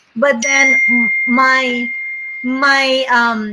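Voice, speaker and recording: A woman talks in a high voice. Noticeable background noise can be heard. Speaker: real estate agent. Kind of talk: casual chat.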